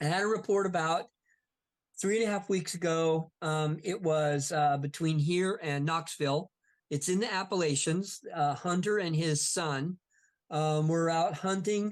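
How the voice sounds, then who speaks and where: The voice moves at a fairly slow pace with fairly even intonation. The background is quiet. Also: man, high pitch for a man, very even loudness. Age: 60s. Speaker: Bigfoot investigator and author. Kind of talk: casual interview chat.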